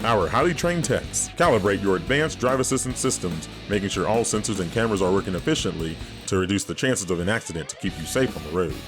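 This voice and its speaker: With music in the background, a man with a resonant, fairly low voice talks at a very fast pace, his pitch swinging very widely. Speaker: voice actor. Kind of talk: TV commercial read.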